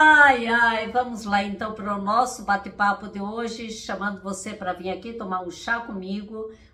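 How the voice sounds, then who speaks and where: Through audible room echo and noticeable background noise, a woman talks fairly slowly at a fairly high pitch, her intonation fairly even and hardly any pauses in her speech. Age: 60s. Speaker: therapist and coach. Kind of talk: casual motivational talk to camera.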